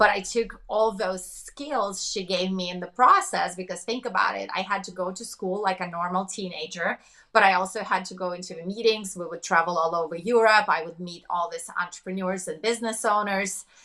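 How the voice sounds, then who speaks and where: Fairly quick, fairly even-toned talk with hardly any pauses and big swings in loudness. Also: woman, medium pitch for a woman. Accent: Russian. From Russia. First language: Russian. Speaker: business coach and entrepreneur. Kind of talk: interview.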